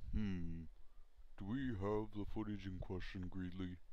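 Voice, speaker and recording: Fairly slow speech from a man doing a put-on character voice, pitched very deep and low. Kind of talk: parody TV news anchor read.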